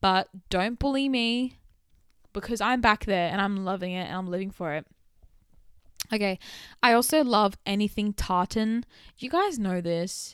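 In a very clean recording with a silent background, a woman with an Australian accent talks at a moderate pace in an animated tone, her intonation lively and her pauses long and frequent. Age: 20s. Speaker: podcast host. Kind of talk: casual solo chat. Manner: chatty, animated.

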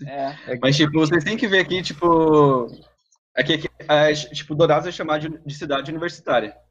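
A man speaks at a moderate pace in a fairly high pitch. His intonation stays fairly even. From Mato Grosso do Sul, Brazil. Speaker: agricultural engineering student. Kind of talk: casual chat.

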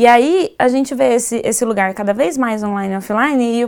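Very fast delivery with ordinary pitch variation, on a very clean recording against a silent background. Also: woman. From Goiás, Brazil. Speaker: designer and maker educator. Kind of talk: casual chat. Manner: halting, repeats words.

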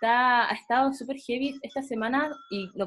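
This is a woman's voice. She speaks with a Chilean accent. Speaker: podcast host. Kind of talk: casual chat.

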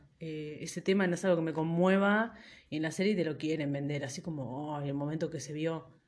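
A woman speaks with a very deep, low pitch. Her pace is fairly quick. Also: ordinary pitch variation. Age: 30s. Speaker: podcaster. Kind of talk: casual solo monologue.

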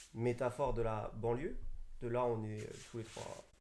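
At a very slow pace, a man speaks in a medium-pitched, somewhat breathy voice with a dark, mellow tone. His intonation is monotone and flat. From Paris suburbs. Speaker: fashion designer. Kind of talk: casual chat. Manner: halting.

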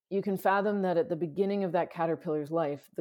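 This woman has a normal speaking voice in a Canadian accent. Her pitch is fairly low, with ordinary pitch variation. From Canada, Toronto. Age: 40s. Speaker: sustainability consultant. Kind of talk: casual interview.

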